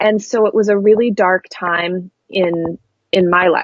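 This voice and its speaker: Here a woman talks with a Pacific Northwest accent. Her medium pitch shows ordinary variation. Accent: General American (Pacific Northwest). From US West Coast (coastal Oregon). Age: 30s. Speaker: graphic designer and spiritual coach. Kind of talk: podcast interview.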